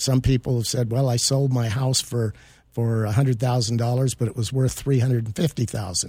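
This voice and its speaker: This man's voice sits at medium pitch with a dark, mellow, somewhat breathy tone and fairly even intonation. He talks at a fairly quick pace on a very clean recording with a silent background. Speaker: estate planning attorney. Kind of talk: radio expert interview. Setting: radio studio. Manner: formal, explanatory.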